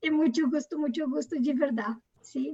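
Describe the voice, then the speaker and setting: A high-pitched woman at a fairly slow pace, dark and mellow in tone, with ordinary pitch variation and a dry, close sound with no echo. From Brazil. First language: Portuguese (speaking Spanish). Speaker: nurse speaker. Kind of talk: webinar closing remarks.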